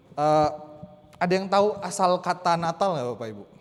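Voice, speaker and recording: This man talks at a fairly quick pace. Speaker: church liturgy speaker. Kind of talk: lecture. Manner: loud.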